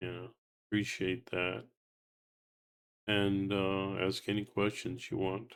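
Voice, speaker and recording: A man speaks at a very slow pace in a monotone, flat intonation, with long, frequent pauses. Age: 70s. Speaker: political commentary vlogger. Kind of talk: casual solo commentary with reading aloud. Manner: halting, many fillers.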